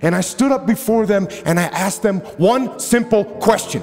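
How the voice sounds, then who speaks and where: Music plays as a man speaks at a moderate pace with lively intonation and a passionate, intense tone. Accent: American. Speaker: retired Navy SEAL officer, motivational speaker. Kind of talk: motivational speech. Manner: passionate, assertive, intense.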